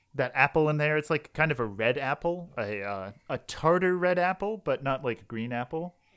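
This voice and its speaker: A man with an unremarkable speaking voice and a fairly high pitch talks with lively intonation. The recording is very clean, with a silent background and a dry, close sound with no echo. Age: 20s. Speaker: podcast co-host and quiz contestant. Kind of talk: casual chat and drink tasting.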